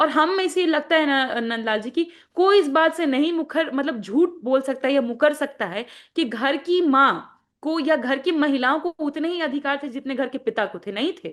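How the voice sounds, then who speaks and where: A woman with a Magahi accent speaks at a high pitch. The background is quiet. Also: lively intonation, moderate pace. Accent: Magahi accent in her Hindi. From Bihar, Magahi-speaking region. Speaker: party spokesperson. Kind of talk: interview. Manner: halting, with repetitions.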